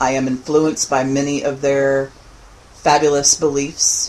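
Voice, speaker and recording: A woman speaks in a very deep, low pitch. Her intonation is monotone and flat. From Louisiana, Lafayette (Cajun). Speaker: pagan author and teacher. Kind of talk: podcast interview.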